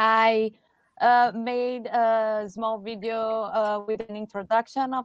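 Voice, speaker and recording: A woman with a fairly high voice speaks in a Portuguese accent. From Brazil. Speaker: game designer pitching. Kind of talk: game pitch.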